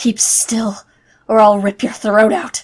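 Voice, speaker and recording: A put-on character voice growls its way through the lines at a fairly slow pace. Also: woman. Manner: snarling, threatening.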